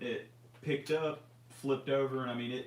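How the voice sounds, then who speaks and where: A man talks at a fairly quick pace with medium pitch. Audible room echo surrounds his voice. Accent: Memphis. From US South, near Memphis, Tennessee. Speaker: RC hobby livestream co-host. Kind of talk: casual livestream chat. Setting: live stream.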